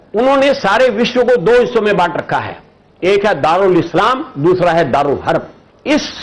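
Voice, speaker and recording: Lively in intonation and high in pitch, a man speaks against noticeable background noise. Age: 80s+. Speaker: political commentator. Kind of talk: interview. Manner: forceful.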